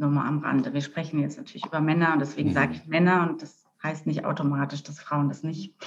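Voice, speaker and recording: A woman with a very deep, low pitch and vocal fry speaks at a very fast pace, her intonation fairly even and her loudness swinging widely. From rural Germany. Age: 50s. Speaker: coach and therapist. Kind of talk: interview.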